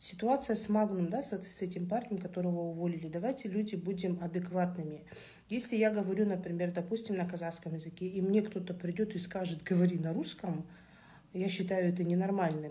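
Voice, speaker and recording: With audible room echo, a woman at medium pitch speaks fairly quickly in a dark, mellow, somewhat breathy tone with fairly even intonation. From Kazakhstan. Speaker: social media commenter. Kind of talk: opinion monologue.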